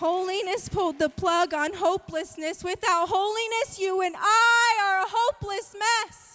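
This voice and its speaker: A woman's raised, projected voice at an extremely high pitch, bright and sharp in tone, moderate in pace, very even in loudness, with hardly any pauses. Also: ordinary pitch variation. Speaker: spoken word poet. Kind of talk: spoken word poetry performance.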